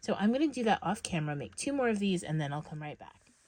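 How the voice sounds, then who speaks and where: Somewhat breathy and very fast, a woman at a medium pitch speaks with very wide pitch swings. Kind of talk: tutorial. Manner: casual with fillers.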